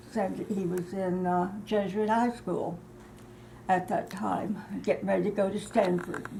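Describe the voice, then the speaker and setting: With audible room echo, a woman talks at medium pitch with fairly even intonation. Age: 80s+. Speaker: eyewitness interviewee. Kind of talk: interview. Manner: halting.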